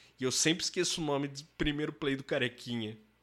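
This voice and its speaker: This man has an ordinary speaking voice, pitched fairly high and moving at a moderate pace. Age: 30s. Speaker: music producer. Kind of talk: interview. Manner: casual, slangy.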